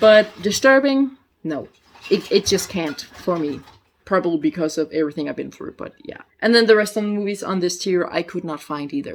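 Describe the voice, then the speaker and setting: A quiet woman's voice with a Danish accent, medium pitch, lively intonation, a fairly quick pace and big swings in loudness. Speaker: youtuber. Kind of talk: casual vlog review. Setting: at her mother's house. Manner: halting.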